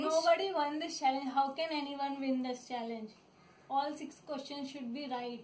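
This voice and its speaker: A woman with a high voice speaks with big swings in loudness. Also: fairly even intonation, moderate pace. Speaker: vlogger sister. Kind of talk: casual talk to camera, playful sibling banter. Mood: playful, teasing, laughing. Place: home room. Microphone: phone near.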